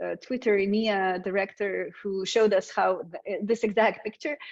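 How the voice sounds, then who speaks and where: Over a quiet background, a woman speaks with a Slovenian accent. Her pace is moderate and her intonation fairly even. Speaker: communications consultant presenting a webinar. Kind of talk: webinar presentation. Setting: online webinar. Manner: frequent fillers and hesitations.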